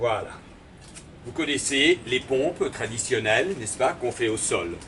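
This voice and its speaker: There is noticeable background noise. A man with a medium pitch speaks at a fairly slow pace with lively intonation. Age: 60s. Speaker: theatre and dance company director. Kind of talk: exercise tutorial. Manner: formal.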